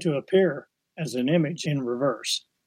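A man with an American accent, a plain, everyday voice, fairly high pitch, ordinary pitch variation, a fairly slow pace, and a dry, close sound with no echo. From Kirksville, Missouri. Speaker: watercolor artist. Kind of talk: interview.

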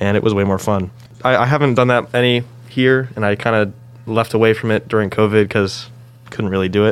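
A man with an ordinary speaking voice, medium in pitch, at a fairly quick pace, fairly even in intonation and very even in loudness. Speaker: engineering undergraduate student. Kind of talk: casual chat.

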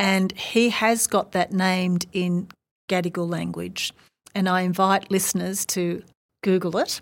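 A woman speaks at a medium pitch in an Australian accent. The recording is very clean, with a silent background. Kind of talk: interview conversation.

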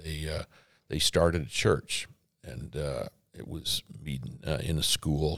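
In an American accent, a man speaks at a fairly slow pace with a very deep, low pitch, vocal fry, ordinary pitch variation and big swings in loudness, in a dry, close sound with no echo. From Arizona. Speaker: pastor. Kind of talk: interview.

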